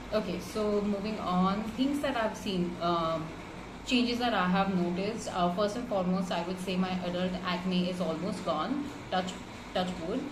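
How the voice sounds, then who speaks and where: Noticeable background noise sits behind a woman speaking at medium pitch. Her pace is moderate, with ordinary pitch variation. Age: 30s. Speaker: marketing professional. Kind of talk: client testimonial. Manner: casual, with many fillers.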